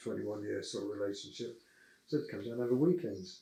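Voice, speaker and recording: Audible room echo surrounds a man whose somewhat breathy voice carries a dark, mellow tone. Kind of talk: casual interview.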